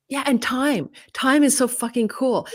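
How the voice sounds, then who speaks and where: A woman's voice is captured dry and close, with no echo. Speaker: astrologer and YouTube creator. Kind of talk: casual interview chat. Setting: live video interview. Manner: fast-talking.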